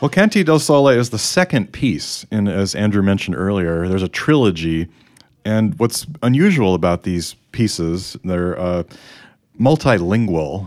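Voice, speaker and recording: A man with an American accent has an unremarkable speaking voice at a fairly low pitch. He talks at a moderate pace with lively intonation. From Chicago area, US Midwest. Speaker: podcast host. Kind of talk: casual chat, podcast discussion.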